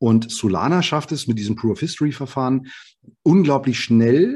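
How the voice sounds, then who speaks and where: Lively intonation marks this man's dark, mellow tone. He keeps a moderate pace against a quiet background. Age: 40s. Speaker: software developer and startup founder. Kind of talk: interview.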